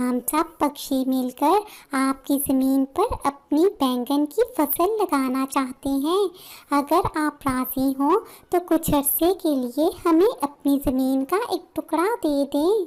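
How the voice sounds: A woman's cartoonish character voice, high in pitch, with lively intonation, a very slow pace and very even loudness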